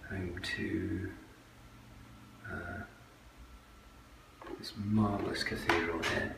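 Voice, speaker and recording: A man with a West Country accent, fairly low in pitch and very slow in pace, against noticeable background noise. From West Country, England. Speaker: watercolour painter. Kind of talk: guided tour of own exhibition. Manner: hesitant, many ums and repetitions. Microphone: phone near.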